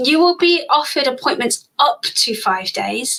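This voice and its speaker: A woman speaks with a high pitch. Her voice is raised and projected. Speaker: doctor. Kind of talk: Q&A on a live stream. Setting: live stream on social media. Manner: fast; animated.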